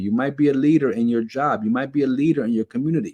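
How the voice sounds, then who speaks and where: In a New York accent, a man speaks at a fairly quick pace with a fairly high pitch. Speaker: keto diet vlogger. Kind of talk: motivational talk to camera. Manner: repetitive, with frequent fillers and restarts; animated.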